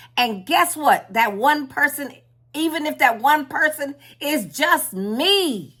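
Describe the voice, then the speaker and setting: A woman's raised, projected voice, high-pitched, bright and sharp, with lively intonation at a very slow pace, on a very clean recording over a silent background. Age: 60s. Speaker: spiritual content creator. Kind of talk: casual vlog talk. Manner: halting, with repetitions.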